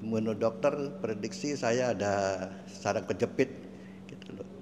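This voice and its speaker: Very wide pitch swings mark the fairly slow speech, which carries audible room echo. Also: man. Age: 70s. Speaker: testimony giver. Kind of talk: testimony. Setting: stage with audience. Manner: halting.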